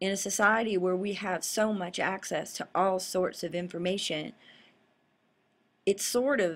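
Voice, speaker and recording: A woman with a Southern US accent talks at a fairly slow pace and medium pitch with fairly even intonation, in a very clean recording with a silent background. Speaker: political commentary vlogger, law school graduate. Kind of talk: casual monologue commentary. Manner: rambling, unscripted.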